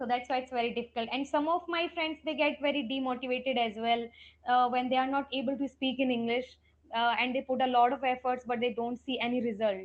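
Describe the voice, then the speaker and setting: A woman speaks at a very fast pace in a high pitch, with an Indian accent and fairly even intonation. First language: Hindi. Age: 20s. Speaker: English trainer. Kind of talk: casual chat.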